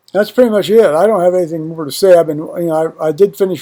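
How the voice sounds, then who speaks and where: A man's voice sits high in pitch with a dark, mellow tone. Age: 60s. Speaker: vlogger. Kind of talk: casual vlog. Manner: halting, many fillers.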